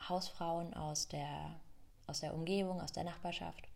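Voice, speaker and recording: Audible room echo surrounds a woman speaking at a fairly slow pace with monotone, flat intonation. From Germany, Rhön region. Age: 20s. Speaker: yoga teacher and podcaster. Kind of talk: personal storytelling monologue.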